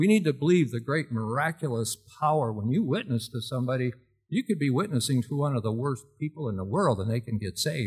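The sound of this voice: A reading voice, unforced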